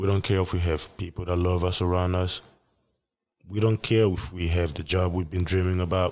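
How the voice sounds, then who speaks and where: A man speaks at a moderate pace in a very deep, low pitch with monotone, flat intonation. The recording is very clean, with a silent background. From West Africa, raised also in Saudi Arabia and Europe. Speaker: podcaster. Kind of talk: solo podcast monologue. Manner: reflective, conversational.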